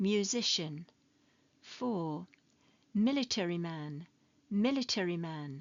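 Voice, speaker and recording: A woman with a British accent speaks very slowly, her intonation lively. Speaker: ESL teacher. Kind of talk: English lesson narration. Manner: slow, clear.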